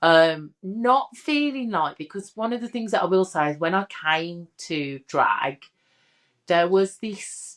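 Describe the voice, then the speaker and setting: Recorded very cleanly against a silent background, a woman with a Birmingham accent talks at a very slow pace. Her medium-pitched voice moves with lively intonation. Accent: Brummie. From Birmingham, English Midlands. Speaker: drag king and comedian. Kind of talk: interview chat. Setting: studio sofa. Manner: animated.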